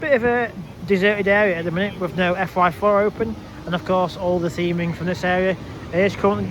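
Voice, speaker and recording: A man with a Lancashire accent talks at a very fast pace in a high voice, his pitch moving in an ordinary way, with noticeable background noise behind him. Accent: northern English (Lancashire). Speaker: theme park vlogger. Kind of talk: walking vlog commentary. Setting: outdoors at a theme park. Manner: halting, stumbling over words.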